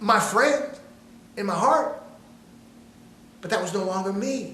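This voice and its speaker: A man speaks in a raised, projected voice at a moderate pace with ordinary pitch variation. Audible room echo and noticeable background noise fill the recording. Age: 60s. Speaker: motivational speaker. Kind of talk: motivational talk. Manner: animated; repetitive, stammering restarts.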